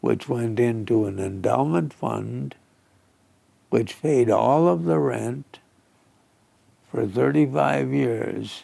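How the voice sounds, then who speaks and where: The speech moves at a very slow pace, broken by long, frequent pauses. Its pitch swings very widely. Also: man, very deep, low pitch for a man. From Alberta, Canada. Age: 90s. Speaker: businessman and philanthropist. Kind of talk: interview.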